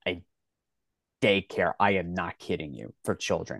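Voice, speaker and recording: Speaking very slowly with a slight Philadelphia accent and ordinary pitch variation, a man is heard in a dry, close sound with no echo. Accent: Philadelphia American, slight. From Philadelphia, US Northeast. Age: 30s. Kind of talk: casual interview chat.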